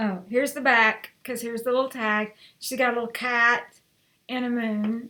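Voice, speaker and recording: Over a quiet background, a woman talks at a moderate pace in a high pitch, her bright, sharp tone held to a monotone, flat intonation. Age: 60s. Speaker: lifestyle vlogger; home vlogger. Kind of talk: unboxing and try-on vlog. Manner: casual, rambling with fillers. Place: home room. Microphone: webcam.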